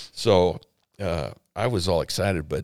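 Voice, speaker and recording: Vocal fry marks the voice of a man with an American accent. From Arizona. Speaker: pastor. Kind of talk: interview.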